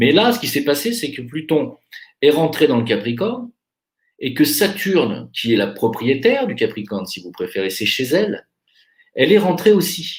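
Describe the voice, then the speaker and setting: A man talks at a moderate pace in a fairly high pitch, with vocal fry. His pitch swings very widely. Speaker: astrologer. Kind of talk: monologue.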